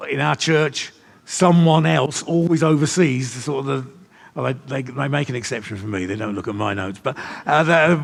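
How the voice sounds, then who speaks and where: Lively intonation from a man at a medium pitch and moderate pace, with vocal fry. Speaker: church leader and trainer of leaders. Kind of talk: teaching session with audience questions.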